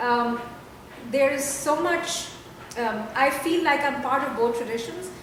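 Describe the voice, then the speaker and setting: Speaking at a fairly slow pace with long, frequent pauses, a woman with a Pakistani accent uses a high pitch and ordinary pitch variation, amid noticeable background noise and audible room echo. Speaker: poet. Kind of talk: interview. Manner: halting.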